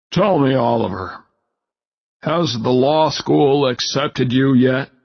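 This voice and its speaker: Using a put-on character voice, a man speaks at a fairly slow pace and medium pitch, with ordinary pitch variation and very even loudness. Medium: read story. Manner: formal, stiff.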